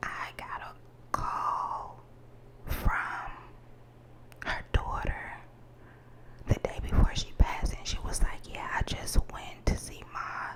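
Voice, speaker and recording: Whispering at a very slow pace with long, frequent pauses, a woman's voice shows big swings in loudness over noticeable background noise. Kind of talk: ASMR whispered rambling, telling personal secrets to camera. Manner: soft, confiding, slightly emotional.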